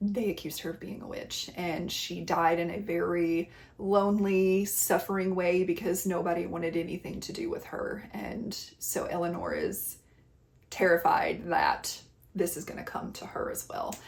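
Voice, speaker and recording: A woman at a moderate pace in a slight Southern US accent, with audible room echo and noticeable background noise. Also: big swings in loudness. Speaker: book reviewer. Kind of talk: casual book recommendation talk. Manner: animated.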